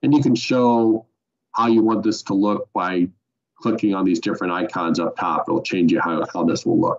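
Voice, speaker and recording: Using a plain, everyday voice, a man speaks at medium pitch and a moderate pace with ordinary pitch variation. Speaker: software trainer. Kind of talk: webinar tutorial. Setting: online webinar.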